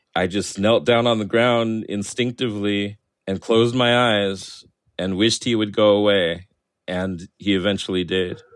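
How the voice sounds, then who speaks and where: A man with a plain, everyday voice speaks at a moderate pace, his fairly low pitch held in a fairly even intonation. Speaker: cartoonist and author. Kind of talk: interview.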